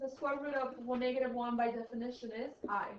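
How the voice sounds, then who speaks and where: Audible room echo surrounds a woman speaking at a high pitch and moderate pace. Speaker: high school math teacher. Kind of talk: classroom lecture.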